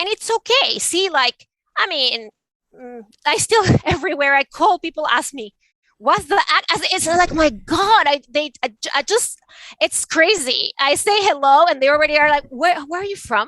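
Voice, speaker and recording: With a Venezuelan accent, a woman projects a raised, high voice at a moderate pace, her tone bright and sharp and her intonation lively, in a dry, close recording with no echo. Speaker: art advisor and author. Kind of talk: interview conversation.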